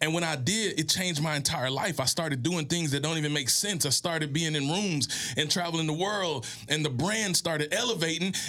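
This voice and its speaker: Over noticeable background noise, a man with an American accent talks at a fairly quick pace in a fairly high pitch, with ordinary pitch variation and very even loudness. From US South, Mississippi. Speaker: motivational speaker and author. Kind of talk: interview, motivational storytelling. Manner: oratorical, inspirational.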